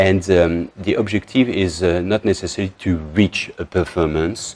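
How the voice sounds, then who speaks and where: In a French accent, a man speaks with a very deep, low pitch. His pace is fairly slow and his intonation fairly even. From northern France. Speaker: spiritual teacher. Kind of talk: talk to camera. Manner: halting.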